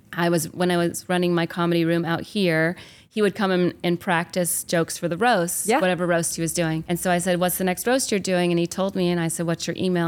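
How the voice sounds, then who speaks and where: With a fairly low pitch and an American accent, a woman speaks at a fairly quick pace in a flat monotone, hardly pausing at all. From US South, small-town Georgia. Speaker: stand-up comedian. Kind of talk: casual interview chat. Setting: backstage at a comedy club.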